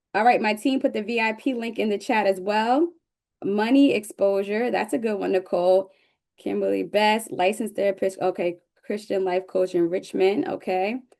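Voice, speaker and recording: A woman with an American accent at medium pitch, moderate pace and ordinary pitch variation. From northern New Jersey, Newark area. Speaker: business coach. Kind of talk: webinar presentation. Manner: animated.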